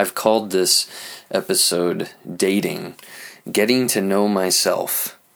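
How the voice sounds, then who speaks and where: This man talks at a very slow pace. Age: 30s. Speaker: marriage and family therapist, podcast host. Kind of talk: personal monologue. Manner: halting, many fillers; improvised.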